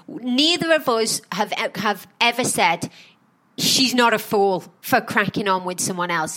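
A woman speaks in a plain, everyday voice, pitched fairly high. Her intonation is lively and her pace fairly slow. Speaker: podcast host. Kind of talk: casual chat reviewing a reality show.

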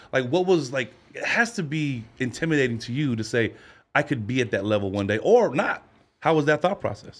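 A man speaks at a fairly quick pace with a fairly high pitch. His pitch swings very widely. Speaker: podcast host. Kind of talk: casual chat. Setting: studio.

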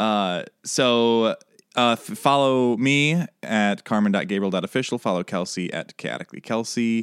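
A plain, everyday voice with ordinary pitch variation, recorded very cleanly against a silent background, the sound dry and close with no echo. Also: man, medium pitch for a man. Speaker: podcast host. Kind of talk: casual comedic chat.

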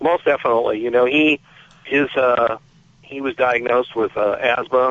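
With fairly even intonation and an unremarkable speaking voice, a man talks at a moderate pace. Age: 50s. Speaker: magazine editor. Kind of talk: interview.

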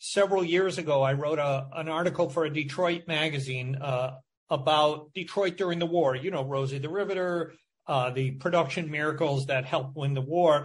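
A somewhat breathy man with an American accent, fairly high in pitch, at a moderate pace with fairly even intonation. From Michigan. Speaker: journalist and author. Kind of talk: interview.

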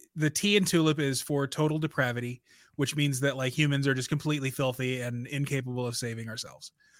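A man with an American accent and a plain, everyday voice speaks at a fairly high pitch in a very clean recording with a silent background. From US Midwest. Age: 30s. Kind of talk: casual philosophical discussion.

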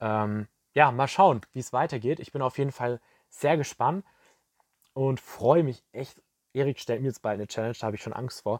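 At a moderate pace, a man talks in an animated tone with a medium pitch, ordinary pitch variation and long, frequent pauses. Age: young. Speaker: podcast host, recent school graduate. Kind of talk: casual monologue, diary-style podcast.

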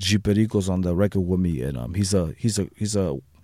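An American accent marks this man's fairly low, dark, mellow voice with ordinary pitch variation. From San Diego, south side near Tijuana. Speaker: rapper. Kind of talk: casual chat.

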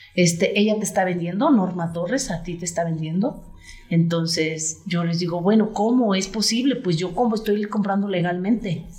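Audible room echo surrounds a woman speaking at a moderate pace with a medium pitch and ordinary pitch variation. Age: 50s. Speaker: real estate agent. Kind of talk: interview conversation.

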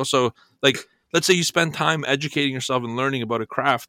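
A man talks at a very fast pace with a medium pitch, ordinary pitch variation and a bright, sharp tone, in a very clean recording with a silent background and a dry, close sound with no echo. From Bulgaria. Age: 30s. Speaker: trading educator. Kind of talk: casual chat.

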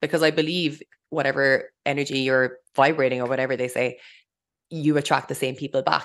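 Against a quiet background, a woman with a very deep, low pitch talks at a fairly quick pace in a monotone, flat intonation. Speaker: mindset coach and podcast co-host. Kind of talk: solo podcast monologue. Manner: fast.

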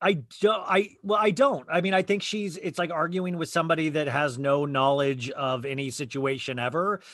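A man with an American accent talks at a moderate pace with hardly any pauses, in a normal speaking voice. His pitch is fairly high, with ordinary variation. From Arizona. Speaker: podcast guest, reality TV fan. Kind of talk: casual chat.

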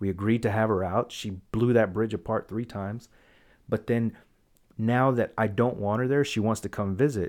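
In a very clean recording with a silent background, a man with a normal speaking voice talks at a moderate pace, with medium pitch and fairly even intonation. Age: 30s. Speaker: podcast host. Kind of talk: casual chat.

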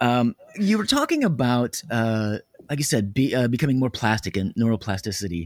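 A man speaks at a moderate pace in an ordinary speaking voice, medium in pitch with lively intonation, and the sound is dry and close with no echo. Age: 50s. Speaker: podcast host, theater performer. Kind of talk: interview conversation. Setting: remote call over internet.

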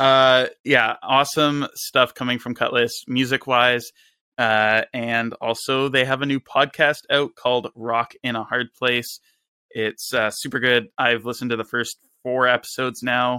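Recorded very cleanly against silence, with a dry, close sound and no echo, a man speaks fairly slowly at a medium pitch in a bright, sharp tone and a monotone, flat intonation. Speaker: podcast co-host. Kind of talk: casual podcast interview.

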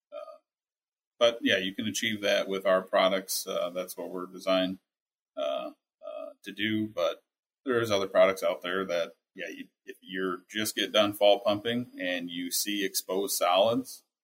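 The man talks at a fairly slow pace. His loudness swings widely. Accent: American. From Minnesota, US Midwest. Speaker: technical salesperson. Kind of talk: interview. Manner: hesitant, many fillers.

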